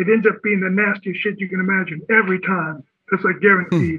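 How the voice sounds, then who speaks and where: Talking at a fairly quick pace with an American accent, a man uses a high pitch and fairly even intonation. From Southern California. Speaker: musician and visual artist. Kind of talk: interview, casual chat. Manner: halting, hesitant.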